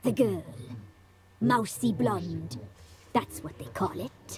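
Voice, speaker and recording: It is a put-on character voice with a low pitch. The delivery is very slow. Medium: video game. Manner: sly, mocking.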